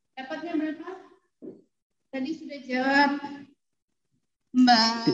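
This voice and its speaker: Over music and audible room echo, a woman speaks very slowly. Her pitch is high and her intonation fairly even. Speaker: university lecturer. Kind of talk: lecture.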